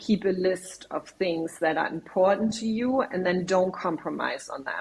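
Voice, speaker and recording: A woman with a German accent speaks at a medium pitch. Her intonation is fairly even, with noticeable background noise. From Germany. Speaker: marketing executive. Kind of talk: podcast interview. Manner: structured.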